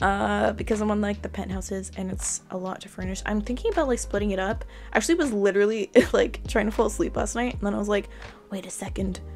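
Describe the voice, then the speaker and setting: Music plays in the background as a woman talks at a very fast pace. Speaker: video game content creator. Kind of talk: casual chat over gameplay. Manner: hesitant, many fillers.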